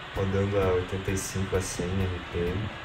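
A man with a fairly low pitch speaks over clear background music. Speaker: triathlete vlogger; amateur triathlete vlogger. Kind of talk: casual vlog narration.

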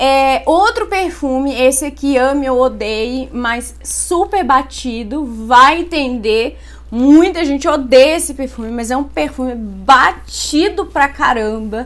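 A woman talks very slowly. Her voice is high and her intonation lively. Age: 20s. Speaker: beauty YouTuber. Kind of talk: product review vlog. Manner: animated. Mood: enthusiastic, chatty. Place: home room. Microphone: phone near.

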